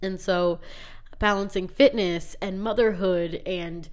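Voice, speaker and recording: This woman's voice sits at a medium pitch, carried by audible room echo. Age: 20s. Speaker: podcast host and middle school teacher. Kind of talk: casual monologue. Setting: alone in a closet.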